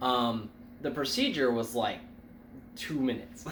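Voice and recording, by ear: A man at a fairly slow pace, with audible room echo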